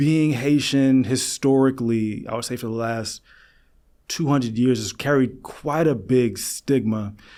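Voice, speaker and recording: A man with a New York accent, medium pitch, fairly even intonation and a fairly slow pace. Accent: New York area American. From US Northeast, Long Island, New York. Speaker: psychologist. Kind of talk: podcast interview.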